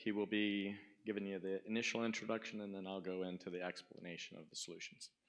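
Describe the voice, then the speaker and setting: A man's fairly low, bright, sharp voice at a very fast pace, monotone and flat in intonation, with big swings in loudness. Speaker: sales engineer. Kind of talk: conference talk. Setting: stage with audience.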